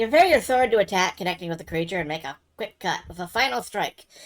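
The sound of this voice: Lively intonation marks the speaker's unforced reading voice.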